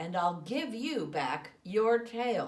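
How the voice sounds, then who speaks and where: A woman puts on a growling character voice at a fairly high pitch. Her pitch swings very widely. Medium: read story.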